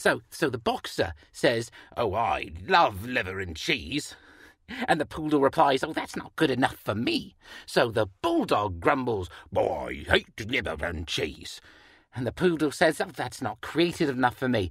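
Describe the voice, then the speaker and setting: In a cartoonish character voice, the speaker talks at a moderate pace and a low-to-middle pitch, on a very clean recording with a silent background. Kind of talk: joke telling. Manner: eager, playful.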